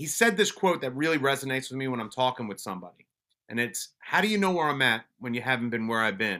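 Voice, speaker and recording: Talking at a very fast pace, a man has a New York accent. His tone is bright and sharp. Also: medium pitch for a man, lively intonation. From Colombia, then Brooklyn, New York. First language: Spanish. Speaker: police officer and mental wellness advocate. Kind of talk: casual interview chat. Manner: halting, many restarts.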